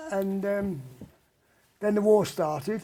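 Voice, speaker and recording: A man in a Cockney accent speaks at a very slow pace. His voice is high-pitched, with a dark, mellow tone. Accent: London Cockney. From London (Bermondsey, south-east London). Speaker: rock and roll singer. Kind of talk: interview. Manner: halting, hesitant with fillers.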